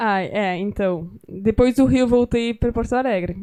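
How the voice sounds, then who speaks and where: With a French accent, a woman talks at a moderate pace in a dark, mellow tone, her pitch varying in an ordinary way. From France. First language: French (speaking Portuguese). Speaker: writer and documentary filmmaker. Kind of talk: interview conversation at a literary gathering. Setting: library event with live audience.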